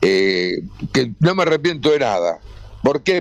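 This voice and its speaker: In a Rioplatense accent, a man speaks at a fairly slow pace. His pitch is fairly high. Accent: Argentine Rioplatense Spanish. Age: 80s+. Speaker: retired sports commentator. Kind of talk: radio interview. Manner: halting.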